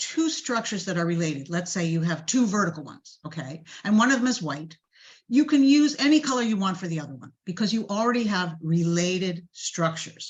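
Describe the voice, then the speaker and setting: A woman talks at a moderate pace at medium pitch, somewhat breathy. Her pitch swings very widely, and her loudness swings a lot. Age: 70s. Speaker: garden designer. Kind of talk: lecture; Q&A answer.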